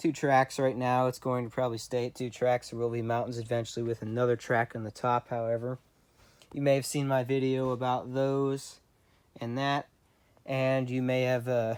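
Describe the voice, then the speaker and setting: A man speaks at medium pitch in a monotone, flat delivery, captured in a very clean recording with a silent background. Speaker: model railroad hobbyist vlogger. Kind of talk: video tour. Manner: fast; casual, hesitant fillers.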